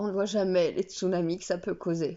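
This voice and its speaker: A woman at a moderate pace and a medium pitch. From Belgium. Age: 30s. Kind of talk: casual talk to camera. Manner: unprepared, raw, emotional.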